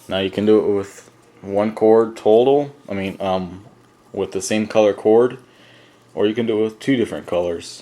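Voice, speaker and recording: At a moderate pace, a man speaks in a fairly low pitch with fairly even intonation and a dark, mellow tone. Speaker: paracord craft tutorial maker. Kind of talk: tutorial. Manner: hesitant, many fillers.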